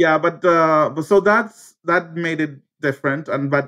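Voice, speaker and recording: A man with a Spanish accent speaks with ordinary pitch variation against a quiet background. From Cuba. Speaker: teacher and former asylum seeker. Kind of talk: interview. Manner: halting, many fillers.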